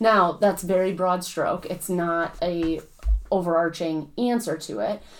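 A woman talks in a plain, everyday voice, fairly low in pitch with ordinary pitch variation. Her pace is fairly slow. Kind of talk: casual chat.

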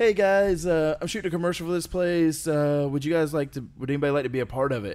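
With an American accent, a man talks very fast at a fairly high pitch, with ordinary pitch variation and hardly any pauses. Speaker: podcast host and wrestling trainer. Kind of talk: casual chat.

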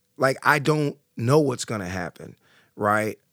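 A man speaks at a moderate pace with a Southern US accent and ordinary pitch variation, in a dry, close sound with no echo on a very clean recording with a silent background. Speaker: boxing class instructor and author. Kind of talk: casual interview.

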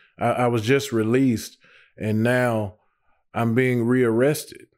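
A man's medium-pitched voice with an American accent at a very slow pace, very cleanly recorded over a silent background. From US South, Nashville, Tennessee. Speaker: ministry staff member, former offender. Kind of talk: testimony. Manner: halting, many fillers.

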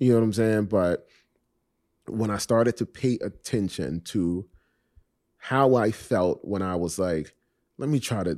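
In a very clean recording with a silent background, a man speaks in a dark, mellow tone at a fairly low pitch, with ordinary pitch variation and a dry, close sound with no echo. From Miami, Florida (Coconut Grove). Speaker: actor. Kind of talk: casual interview conversation.

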